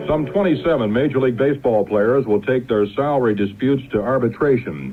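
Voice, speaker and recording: A man talks at a fairly quick pace in a medium pitch with ordinary pitch variation. His loudness stays very even, and there is noticeable background noise. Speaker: network radio newscaster. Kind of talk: network radio newscast.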